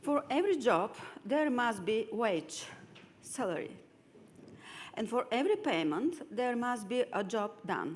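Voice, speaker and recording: Fairly slowly, a woman with a Bulgarian accent speaks at a fairly high pitch with very wide pitch swings. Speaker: lawyer. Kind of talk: lecture.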